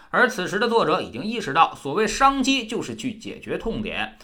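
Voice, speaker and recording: Speaking in a raised, projected voice, a man delivers his words at a fairly quick pace with a bright, sharp tone and lively intonation. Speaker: book review podcast host. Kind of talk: scripted narration.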